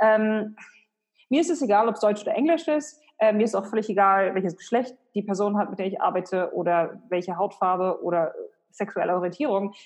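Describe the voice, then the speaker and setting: At a fairly quick pace, a woman with a normal speaking voice and medium pitch talks with lively intonation. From Germany, Hannover. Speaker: personal branding expert and author. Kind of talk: interview.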